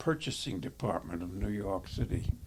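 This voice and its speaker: A man speaks in a somewhat breathy voice. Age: 80s+. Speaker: war veteran. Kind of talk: interview. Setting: retirement community. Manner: halting.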